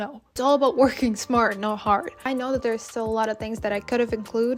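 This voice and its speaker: A woman's fairly high voice with a non-native accent, very fast pace and fairly even intonation. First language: not English. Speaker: vlogger. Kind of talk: casual vlog talking to camera. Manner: casual, chatty.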